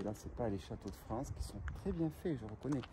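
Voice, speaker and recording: A man talks fairly quickly while noticeable background noise runs behind him. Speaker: urbex vlogger. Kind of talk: casual vlog chat. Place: open country. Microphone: phone near.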